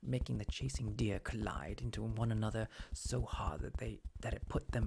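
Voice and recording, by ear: A natural voice is heard reading aloud.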